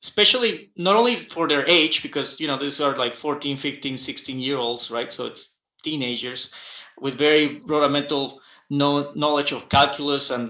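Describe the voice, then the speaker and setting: A man with a Guatemalan accent speaks at a moderate pace in a fairly high pitch. His tone is bright and sharp, with ordinary pitch variation. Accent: non-native, Guatemalan Spanish. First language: Spanish. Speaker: aerospace engineer. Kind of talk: panel discussion. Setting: livestream. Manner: halting, many fillers and repetitions.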